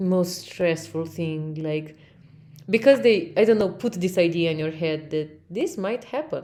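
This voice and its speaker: A woman's dark, mellow voice with a Russian accent, fairly low in pitch, with lively intonation at a fairly slow pace. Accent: Russian-sounding English (own words). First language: Romanian. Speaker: podcast host. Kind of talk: casual chat. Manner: halting.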